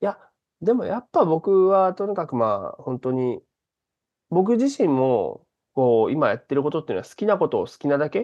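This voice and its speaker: With very wide pitch swings, a man talks in a high pitch. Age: 30s. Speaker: stand-up comedian. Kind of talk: interview.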